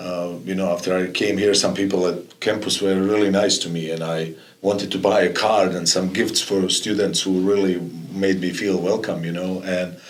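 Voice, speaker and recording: Audible room echo surrounds a man's voice. He speaks in a very deep, low pitch at a moderate pace. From former Yugoslavia. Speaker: college soccer coach. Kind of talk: podcast interview. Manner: halting, many fillers and repetitions.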